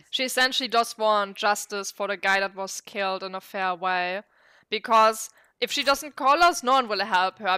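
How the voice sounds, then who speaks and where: A woman with a non-native accent, a bright, sharp tone, ordinary pitch variation and a moderate pace, in a very clean recording with a silent background and a dry, close sound with no echo. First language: not English. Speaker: vtuber streamer. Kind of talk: casual gameplay commentary. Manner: halting.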